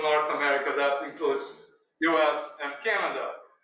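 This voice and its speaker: Audible room echo colors the voice of a man who talks with fairly even intonation. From Brazil. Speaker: visual artist. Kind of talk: artist talk. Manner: halting, with many fillers.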